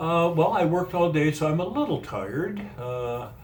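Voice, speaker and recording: A fairly high-pitched man at a moderate pace with lively intonation, amid noticeable background noise and audible room echo. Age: 70s. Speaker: retired mental health worker and trainer. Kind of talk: interview. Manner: halting.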